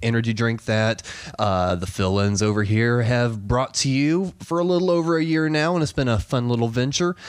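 Lively intonation marks a man's speech at a medium pitch. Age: 20s. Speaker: podcast co-host. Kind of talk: casual chat. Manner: laughs often, animated.

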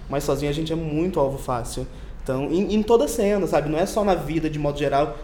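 Against noticeable background noise and audible room echo, a man with a Carioca accent talks at a very fast pace in a fairly high pitch. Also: ordinary pitch variation. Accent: carioca, hissing s. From Rio de Janeiro. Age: young. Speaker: magazine editor. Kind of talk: casual chat.

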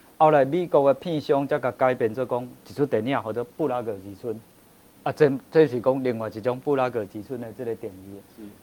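His tone dark and mellow, a man speaks at a moderate pace in a medium pitch with ordinary pitch variation and big swings in loudness. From Taiwan. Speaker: author and Czech culture expert. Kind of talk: interview on a livestream talk show. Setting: livestream studio.

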